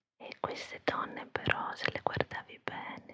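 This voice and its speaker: A woman speaks in a whisper. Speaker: ASMR creator, storyteller. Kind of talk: ASMR whispered storytelling for sleep. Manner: soft, whispering, slow.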